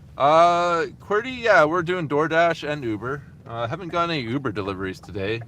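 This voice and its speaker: A man's voice is heard. It rises and falls across a very wide pitch range. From Canada. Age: 30s. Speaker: delivery driver live streamer. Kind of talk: casual live stream chat while driving. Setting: in a car. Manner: casual, chatty.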